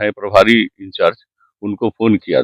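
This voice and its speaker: Heard dry and close with no echo, a man is speaking. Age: 60s. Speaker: landowner complaining of land grab. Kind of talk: news interview testimony.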